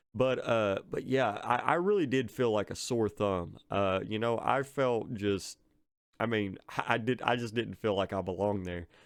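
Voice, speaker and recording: A man with an American accent speaks at a moderate pace in a fairly low voice with ordinary pitch variation against a quiet background. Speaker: film reviewer. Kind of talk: casual monologue review. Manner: halting, many fillers and repetitions.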